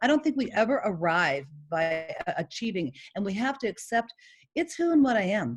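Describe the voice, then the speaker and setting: A woman talks at a fairly quick pace yet with long, frequent pauses. Her fairly high voice shows vocal fry and very wide pitch swings. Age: 50s. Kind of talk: casual chat. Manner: loud.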